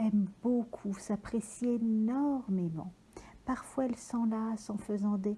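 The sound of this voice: The reading comes in an unforced voice. Nothing about it sounds pushed.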